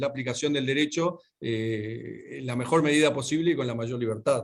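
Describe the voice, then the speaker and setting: A man in a Uruguayan accent talks at a moderate pace and medium pitch with ordinary pitch variation. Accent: Rioplatense Spanish (Uruguayan). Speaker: lawyer and speaker. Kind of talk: lecture. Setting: video call. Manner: halting, many fillers.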